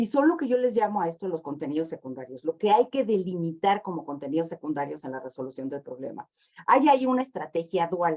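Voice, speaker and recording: Very wide pitch swings and big swings in loudness mark this very fast delivery. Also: woman, fairly low pitch for a woman. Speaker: education consultant, lecturer. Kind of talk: interview, expository explanation.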